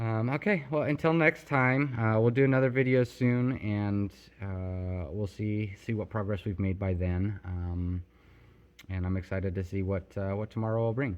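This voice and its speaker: At a moderate pace, a man speaks with ordinary pitch variation. His pitch is fairly low. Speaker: vlogger, indoor grower. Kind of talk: casual vlog talk to camera. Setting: warehouse. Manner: rambling with many fillers and repetitions; loud.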